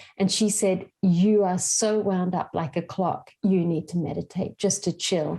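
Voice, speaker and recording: Her dark, mellow tone somewhat breathy, a woman talks at a fairly slow pace with fairly even intonation and hardly any pauses. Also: medium pitch for a woman. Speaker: meditation coach. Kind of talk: interview conversation. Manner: calm, hypnotic.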